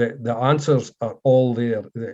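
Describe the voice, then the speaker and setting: A man in a Scottish accent talks fairly slowly at a medium pitch, with a dark, mellow tone and fairly even intonation, over a quiet background. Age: 50s. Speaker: former butcher, meat industry manager. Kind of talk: casual interview.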